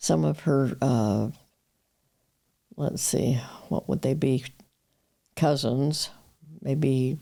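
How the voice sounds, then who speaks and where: In a Western US accent, the speaker goes at a very slow pace with long, frequent pauses, ordinary pitch variation, a dark, mellow tone and very even loudness. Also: woman, very deep, low pitch for a woman. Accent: American, Western US. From Utah. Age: 80s+. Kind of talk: interview answer.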